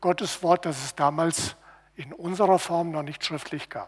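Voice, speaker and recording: This is a man speaking. His pitch is high. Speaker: preacher. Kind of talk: sermon. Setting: church. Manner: earnest, teaching, steady.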